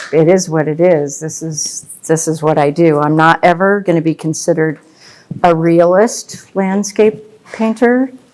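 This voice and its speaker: Speaking with an American accent, a woman has a fairly low pitch and ordinary pitch variation. Noticeable background noise sits behind her. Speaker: landscape painter. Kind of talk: painting demonstration. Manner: slow; soft-spoken.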